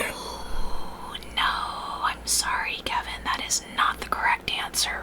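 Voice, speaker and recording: Whispering at a very slow pace, a woman is heard against noticeable background noise. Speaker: ASMR host. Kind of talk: 1960s radio roleplay trivia host. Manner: whispered, ASMR.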